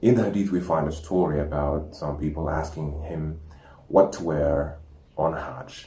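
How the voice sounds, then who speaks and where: A somewhat breathy man's voice, very deep and low in pitch, with ordinary pitch variation. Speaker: Islamic educational presenter. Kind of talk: educational talk. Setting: home recording with animal sounds in background.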